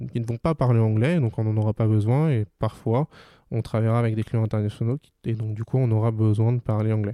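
Recorded very cleanly over a silent background, a man's medium-pitched voice has a dark, mellow tone and fairly even intonation, with a dry, close sound and no echo. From Paris region, France. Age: 20s. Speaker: digital advertising consultant. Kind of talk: interview.

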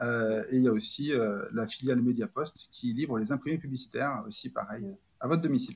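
This man talks at a fairly quick pace, with a medium pitch and ordinary pitch variation. His voice is somewhat breathy. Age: 30s. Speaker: corporate operational excellence director. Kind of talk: interview. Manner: halting.

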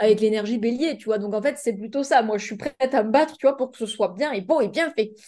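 A woman's fairly high, dark and mellow voice at a fairly quick pace, with ordinary pitch variation and big swings in loudness. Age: 20s. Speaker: life coach and business mentor. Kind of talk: casual chat.

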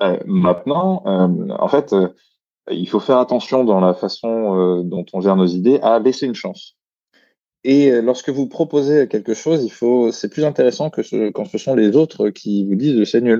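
Against a quiet background, a man with a dark, mellow tone talks at a fairly slow pace, his pitch swinging very widely. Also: medium pitch for a man. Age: 30s. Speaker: creativity consultant and author. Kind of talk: interview. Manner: hesitant with many fillers.

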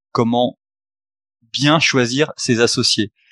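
The speech moves at a very slow pace with fairly even intonation. The sound is dry and close, with no echo. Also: man. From Haute-Savoie, French Alps. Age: 30s. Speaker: investor and entrepreneur. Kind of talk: podcast interview. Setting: meeting room in a coworking space, remote.

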